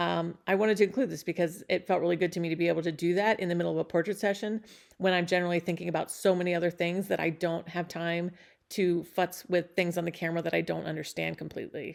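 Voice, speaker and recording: A woman rattles through her words at a very fast pace, fairly low in pitch. Her intonation is monotone and flat against a quiet background. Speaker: photographer. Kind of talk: casual vlog commentary. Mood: warm, reflective.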